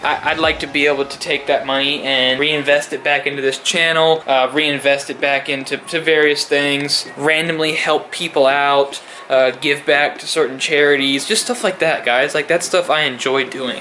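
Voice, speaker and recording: A man's fairly high voice at a moderate pace, hardly any pauses and fairly even intonation, over noticeable background noise. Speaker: self-improvement vlogger. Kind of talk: motivational monologue. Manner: repetitive filler-heavy.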